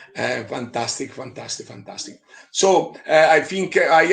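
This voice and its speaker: An Italian accent at a moderate pace, with ordinary pitch variation. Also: man. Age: 60s. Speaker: beer expert and event narrator. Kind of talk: live online interview. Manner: halting, many fillers.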